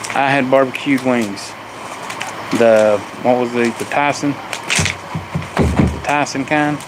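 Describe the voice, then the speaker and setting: Over noticeable background noise, a man with an American accent speaks very slowly with fairly even intonation. Long pauses come often. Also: medium pitch for a man. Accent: Southern hillbilly. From US South, Appalachia. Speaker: family livestreamer. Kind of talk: casual live stream chat.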